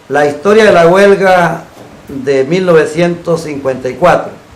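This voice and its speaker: A man with a fairly high pitch and ordinary pitch variation talks at a very slow pace, with audible room echo and noticeable background noise. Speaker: TV talk show host. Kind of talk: program closing announcement; TV interview. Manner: formal.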